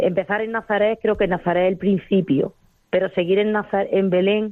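A woman with an Andalusian accent speaks at a medium pitch. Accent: Andalusian, noticeable. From Andalusia, Spain (Arjonilla, Jaén). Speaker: pilgrim. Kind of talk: phone testimony. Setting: phone call.

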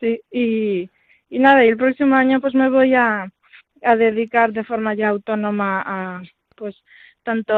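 A woman speaks in a normal speaking voice at a moderate pace. Her pitch is fairly high, with fairly even intonation. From Galicia, Vigo. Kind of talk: interview testimony. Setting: phone call.

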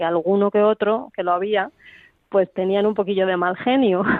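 With an unremarkable speaking voice, a woman talks at medium pitch with fairly even intonation. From Spain. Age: 50s. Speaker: former circus performer. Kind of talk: radio interview. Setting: phone call.

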